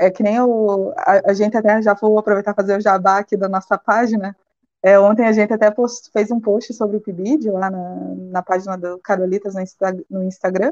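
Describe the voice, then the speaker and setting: Heard in a dry, close sound with no echo, a woman with an unremarkable speaking voice talks at a moderate pace and medium pitch with fairly even intonation. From Brazil, Paraná (Ponta Grossa). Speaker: sociology teacher and master's student. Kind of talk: live-stream interview.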